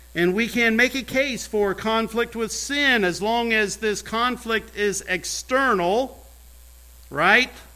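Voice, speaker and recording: In a raised, projected voice with a bright, sharp tone, a man with a high pitch speaks very slowly, using ordinary pitch variation. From US Midwest, rural Indiana (Brown County). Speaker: pastor. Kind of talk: sermon.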